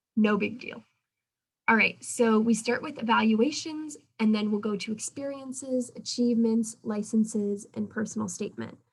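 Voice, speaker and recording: A woman's somewhat breathy, fairly high voice at a moderate pace, with fairly even intonation. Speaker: pre-dental student club officer. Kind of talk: club meeting presentation.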